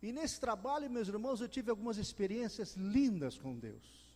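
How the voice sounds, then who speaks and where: The man's tone is dark and mellow. He speaks at a moderate pace. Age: 70s. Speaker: preacher, retired lawyer. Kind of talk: sermon.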